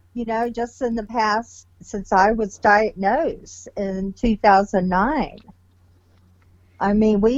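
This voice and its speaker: A woman speaks in an unremarkable speaking voice at a fairly slow pace. Her pitch is fairly high, with ordinary pitch variation. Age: 60s. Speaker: patient sharing illness story. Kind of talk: interview. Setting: podcast recording.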